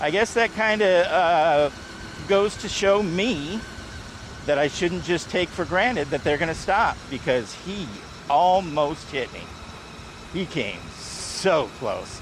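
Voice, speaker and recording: A loud man speaks at a very slow pace with a high pitch and lively intonation. Long, frequent pauses break his speech over noticeable background noise. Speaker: vlogger riding a trike. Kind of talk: casual vlog monologue. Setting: outdoors, riding a trike.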